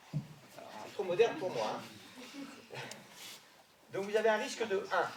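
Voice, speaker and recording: A loud man's high-pitched voice with lively intonation, amid audible room echo and noticeable background noise. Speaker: sports doctor. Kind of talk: lecture. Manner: fast.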